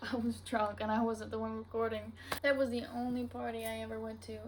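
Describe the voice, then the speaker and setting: Noticeable background noise and audible room echo surround a woman speaking in a Southern US accent. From US South. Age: 20s. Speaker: podcaster. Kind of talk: casual chat. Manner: casual, filler-heavy.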